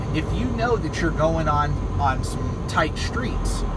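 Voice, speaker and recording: A man speaks at a moderate pace amid loud background noise. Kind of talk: casual driving vlog tips. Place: car. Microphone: phone near.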